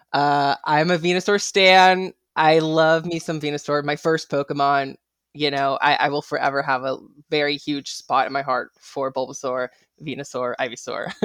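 The tone is enthusiastic and animated. Behind it the background stays quiet. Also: woman, very deep, low pitch for a woman, moderate pace. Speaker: TikTok creator and guest. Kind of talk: casual chat. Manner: enthusiastic, animated.

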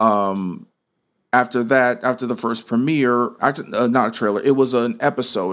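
Speaking with an American accent, a man uses an unremarkable speaking voice, medium in pitch with ordinary pitch variation, at a moderate pace. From Las Vegas, Nevada. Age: 20s. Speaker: filmmaker. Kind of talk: interview.

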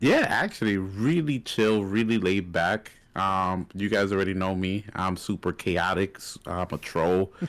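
Recorded very cleanly against a silent background, a man speaks fairly slowly with a very deep, low pitch and fairly even intonation. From New York. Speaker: gaming content creator. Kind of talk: casual chat.

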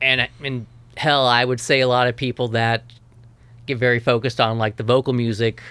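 A man with an American accent and a medium pitch talks in a bright, sharp tone with monotone, flat intonation, recorded very cleanly over a silent background. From US South, Tennessee (Memphis, West Tennessee, Nashville). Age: 30s. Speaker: ambient guitar musician. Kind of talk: casual interview.

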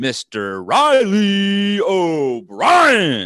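In a put-on character voice, a man talks at a high pitch. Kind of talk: announcer.

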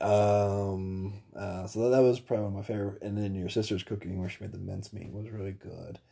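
A man with an American accent, fairly low in pitch, dark and mellow in tone, somewhat breathy, monotone and flat in intonation, at a fairly quick pace with hardly any pauses. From US Midwest, Indiana. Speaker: host's husband. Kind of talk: casual chat.

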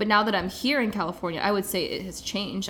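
Speaking very fast with an American accent, a woman is heard over noticeable background noise. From US Midwest, Kansas City. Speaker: life coach. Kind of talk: casual interview.

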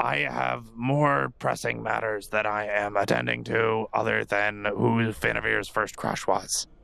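A man puts on a raspy character voice at a fairly low pitch, moving at a moderate pace with very wide pitch swings. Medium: actual play. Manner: dry, curt.

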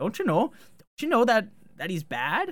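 This put-on character voice has a sing-song lilt with very wide pitch swings. The pitch is fairly high and the pace is moderate. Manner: mocking, sing-song.

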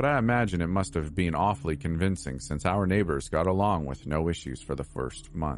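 Over music in the background, a man with a very deep, low pitch talks at a fairly quick pace with lively intonation. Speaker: horror story narrator. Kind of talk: spooky horror narration, hushed and suspenseful, read aloud as a first-person creepypasta. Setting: online video channel with outro.

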